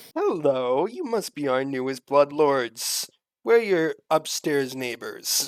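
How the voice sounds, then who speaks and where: Using a put-on character voice, a man speaks at a fairly slow pace with a fairly high pitch. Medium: actual play. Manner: condescending, sarcastic.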